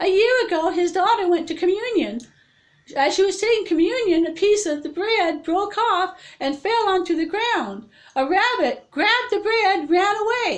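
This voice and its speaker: The speaker is a woman doing a put-on character voice. It sits extremely high in pitch. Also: moderate pace. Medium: read story. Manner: stammering.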